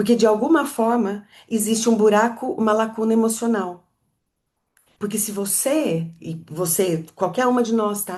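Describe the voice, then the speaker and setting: A woman has an ordinary speaking voice with a fairly high pitch. She speaks at a fairly slow pace. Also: ordinary pitch variation. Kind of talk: teaching talk to live audience.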